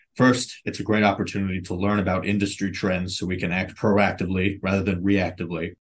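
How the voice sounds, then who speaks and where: At a fairly quick pace, a man with an American accent speaks in an unremarkable speaking voice with a fairly low pitch. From New York City (Brooklyn). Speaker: health insurance policy staffer. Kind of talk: podcast interview.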